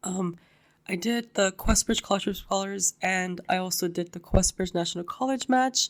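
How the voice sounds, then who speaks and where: A woman talks at a moderate tempo in a medium voice, varying her pitch in an ordinary way. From East Los Angeles. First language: Spanish. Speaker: university student. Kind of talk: podcast interview.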